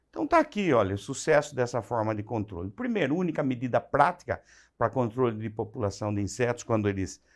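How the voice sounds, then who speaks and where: A man with an unremarkable speaking voice, medium pitch and a fairly quick pace, against a quiet background. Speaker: agronomy lecturer. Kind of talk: lecture.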